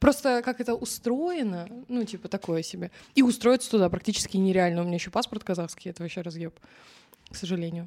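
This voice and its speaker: A woman talks at a very fast pace in a medium pitch, with a dark, mellow tone. Her intonation is lively, and her loudness swings widely. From Kazakhstan. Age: 20s. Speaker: TikTok creator. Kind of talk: casual chat.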